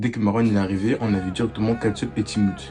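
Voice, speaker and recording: Noticeable background noise runs behind a man talking at a fairly quick pace. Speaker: YouTuber. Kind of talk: casual vlog storytelling. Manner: loud; hesitant, many fillers.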